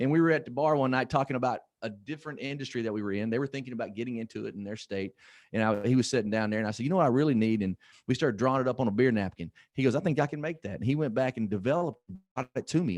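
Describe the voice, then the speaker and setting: Talking at a very fast pace, a man with a slight Southern US accent sounds animated, and his intonation is lively. The sound is dry and close with no echo. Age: 50s. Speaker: motivational speaker. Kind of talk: motivational talk.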